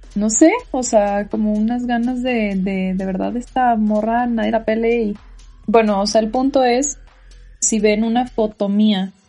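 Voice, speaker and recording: With music in the background, a woman speaks slowly at a fairly high pitch with fairly even intonation. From Mexico, Tijuana. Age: 20s. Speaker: podcast host. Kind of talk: personal testimony. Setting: bedroom at home.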